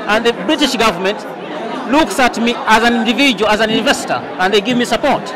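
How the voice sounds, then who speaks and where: Speaking at a very fast pace with an extremely high pitch, a man shows ordinary pitch variation in a dry sound with no echo and noticeable background noise. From Uganda. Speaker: solar traffic light manufacturer. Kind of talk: interview. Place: hall. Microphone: lapel.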